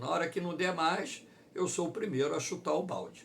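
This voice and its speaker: At a moderate pace, a man talks in a somewhat breathy voice with audible room echo. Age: 60s. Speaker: geography teacher. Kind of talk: online lecture.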